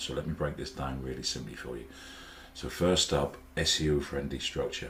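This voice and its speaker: A man with a Norfolk accent speaks in a very deep, low voice. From Norfolk, England. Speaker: web designer. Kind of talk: casual talk to camera.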